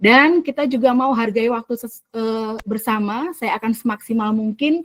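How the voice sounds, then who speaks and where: A woman speaks at a moderate pace with a fairly high, shrill pitch, ordinary pitch variation and a somewhat breathy quality. The sound is dry and close, with no echo. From Central Java (Semarang), Indonesia. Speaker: teacher trainer / facilitator. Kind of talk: online training session. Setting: video call. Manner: lively, engaging.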